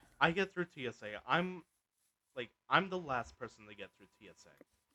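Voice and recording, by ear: A moderate pace and lively intonation, with a dry, close sound free of echo and a bright, sharp tone. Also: man, medium pitch for a man.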